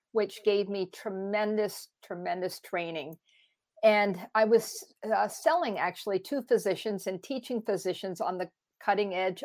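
In a plain, everyday voice, a woman at a medium pitch speaks at a moderate pace with ordinary pitch variation, on a very clean recording with a silent background. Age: 60s. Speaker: longevity and anti-aging coach. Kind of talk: interview.

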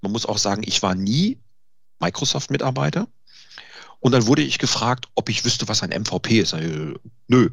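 A man with a medium-pitched voice and vocal fry speaks at a moderate pace, his pitch swinging very widely. He leaves long, frequent pauses. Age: 50s. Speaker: IT consultant and home cook. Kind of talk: casual interview.

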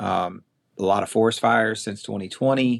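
A man's fairly low voice in a Southern US accent at a very slow pace. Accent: Southern drawl. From US South, middle Tennessee. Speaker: quail conservation program staff. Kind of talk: casual interview chat. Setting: remote call.

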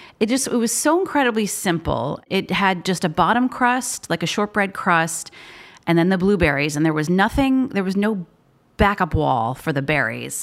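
A woman's voice with vocal fry and very wide pitch swings, on a very clean recording against a silent background. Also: medium pitch for a woman, moderate pace. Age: 40s. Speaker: food writer. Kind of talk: casual interview. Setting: at her apartment.

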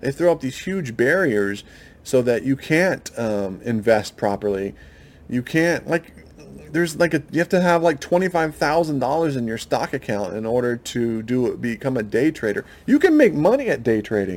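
Here a man speaks with an American accent at a medium pitch and moderate pace. His intonation is lively. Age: 40s. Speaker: podcast host. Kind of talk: solo monologue podcast. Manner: halting, frequent fillers.

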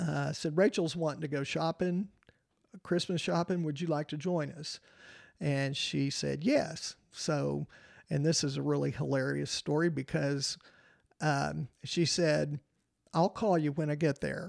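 Recorded very cleanly with a silent background and a dry, close sound with no echo, a man with a West Texas accent speaks at a fairly slow pace in a fairly high pitch with fairly even intonation. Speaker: retired teacher. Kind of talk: casual interview.

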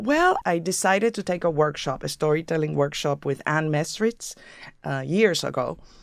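Here is a woman with a very deep, low pitch, speaking in a Puerto Rican accent with ordinary pitch variation. The recording is very clean, with a silent background. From Puerto Rico. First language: Spanish. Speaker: actor and playwright. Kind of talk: interview conversation.

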